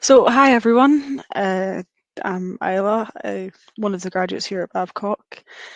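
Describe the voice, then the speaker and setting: A woman in a Scottish accent, with a dry, close sound, no echo and a quiet background. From Scotland. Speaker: engineering graduate. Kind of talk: webinar presentation.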